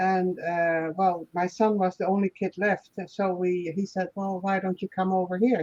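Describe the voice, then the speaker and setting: A woman speaks in a slight Dutch accent at a medium pitch, her intonation monotone and flat. She goes at a fairly slow pace with hardly any pauses, and the sound is dry and close with no echo. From Netherlands. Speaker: guest, former therapist, small farmer. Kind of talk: casual interview chat. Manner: halting.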